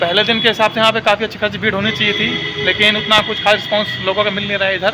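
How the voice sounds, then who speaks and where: Through noticeable background noise, a man speaks at a high pitch in a monotone, flat intonation. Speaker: travel vlogger. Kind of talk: casual vlog chat. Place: station. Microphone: earbuds.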